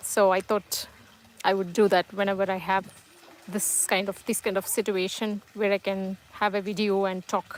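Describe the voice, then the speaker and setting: In a Tamil accent, a woman speaks at a moderate pace and medium pitch with monotone, flat intonation. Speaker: live streamer. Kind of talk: casual live stream chat. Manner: halting, many fillers.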